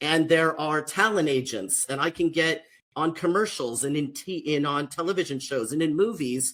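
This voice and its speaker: A man speaks with an American accent at a moderate pace. His pitch is fairly high. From US, Mexican American family. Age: 50s. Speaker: social worker and author. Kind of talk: panel discussion. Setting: livestream panel.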